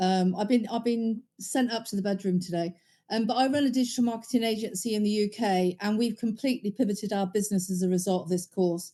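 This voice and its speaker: With a dark, mellow tone and a somewhat breathy sound, this voice runs at a very fast pace with fairly even intonation and hardly any pauses. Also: woman, medium pitch for a woman. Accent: British. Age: 60s. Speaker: course student and agency owner. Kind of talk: testimonial. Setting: video call from home bedroom. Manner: halting with fillers.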